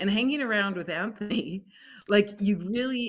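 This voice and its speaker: A woman's ordinary speaking voice with a Canadian accent, medium-pitched, fairly quick and with lively intonation, in a very clean recording with a silent background. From Alberta, Canada. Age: 60s. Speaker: food company founder. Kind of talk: podcast interview.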